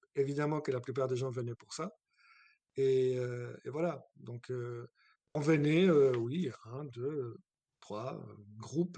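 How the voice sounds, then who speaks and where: A man with a dark, mellow tone at a very slow pace, with long, frequent pauses and ordinary pitch variation. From abroad, not France. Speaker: guest house owner. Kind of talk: interview.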